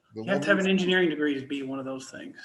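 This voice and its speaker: A man's fairly high voice shows ordinary pitch variation as noticeable background noise goes on behind him. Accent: American. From Texas, near Dallas. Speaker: warehouse operations manager. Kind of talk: casual interview chat.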